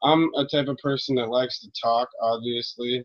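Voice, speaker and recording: Mumbling at a moderate pace, a man speaks in a monotone with flat intonation. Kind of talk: casual monologue on religion.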